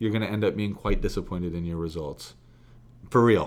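A man with a fairly low pitch talks at a fairly quick pace in an animated tone. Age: 30s. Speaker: podcast co-host. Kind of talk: casual chat. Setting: office.

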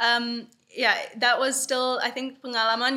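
A woman speaks at a fairly slow pace in a high pitch. Her tone is bright and sharp. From Bali, Indonesia (Dutch mother, Indonesian father). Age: 20s. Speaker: youth environmental activist. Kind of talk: podcast interview.

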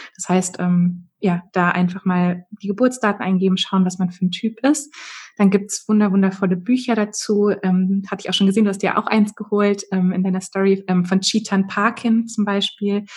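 Somewhat breathy, a woman speaks at a medium pitch with fairly even intonation. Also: moderate pace. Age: 30s. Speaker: human design coach. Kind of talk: interview.

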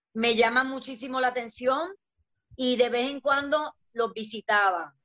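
A woman speaks at a fairly slow pace in a high pitch. The sound is dry and close, with no echo. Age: 50s. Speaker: dancer and entertainer. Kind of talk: casual chat.

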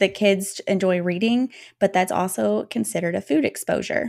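The speaking pace is moderate. This is an unremarkable speaking voice. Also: woman. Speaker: pediatric dietitian. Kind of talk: casual interview. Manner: articulate, polished.

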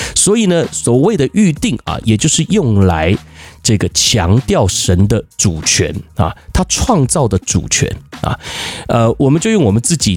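At a fairly slow pace, a medium-pitched man speaks with very wide pitch swings and very even loudness. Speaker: pastor. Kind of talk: casual chat.

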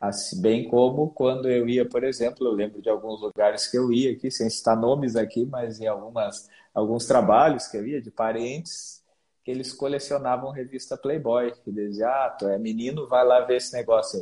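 At a moderate pace, a man speaks in a dark, mellow tone at medium pitch with fairly even intonation. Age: 30s. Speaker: pastor. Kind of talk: interview on a live stream. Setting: video call.

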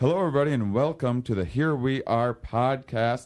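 Against a quiet background, a man speaks at medium pitch in a plain, everyday voice with ordinary pitch variation. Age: 30s. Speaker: podcast host and comedian. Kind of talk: podcast intro and promo; casual interview. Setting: in person at a university.

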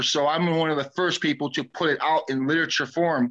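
A man speaks at a fairly quick pace in a plain, everyday voice, his pitch fairly high with ordinary variation. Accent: American. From US West Coast. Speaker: DJ and hip hop historian. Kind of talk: casual chat.

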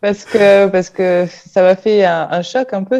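This woman has a dark, mellow tone at a medium pitch. She talks at a fairly slow pace. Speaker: fitness team member, former medical secretary. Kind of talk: casual chat. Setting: video call.

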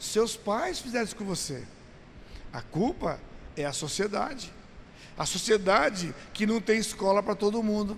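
A man with a high pitch speaks with long, frequent pauses. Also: lively intonation. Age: 60s. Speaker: pastor. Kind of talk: teaching seminar. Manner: conversational, animated.

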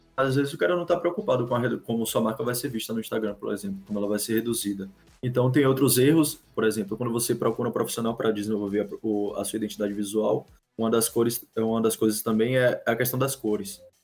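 Over music in the background, a man talks at a very fast pace with medium pitch and ordinary pitch variation. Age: 20s. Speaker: graphic designer. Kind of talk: casual chat. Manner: halting.

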